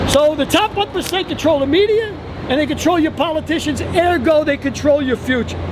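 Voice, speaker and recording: An animated man's voice, extremely high-pitched, with noticeable background noise. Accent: New York. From New York City, the Bronx. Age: 60s. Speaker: retired firefighter. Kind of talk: street interview at a protest.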